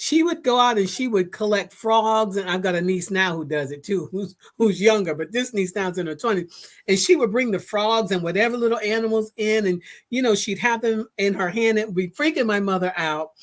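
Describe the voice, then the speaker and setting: A woman with an ordinary speaking voice talks at medium pitch and a fairly quick pace, with hardly any pauses and ordinary pitch variation, in a very clean recording with a silent background. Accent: American. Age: 60s. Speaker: podcast host. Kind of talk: casual interview.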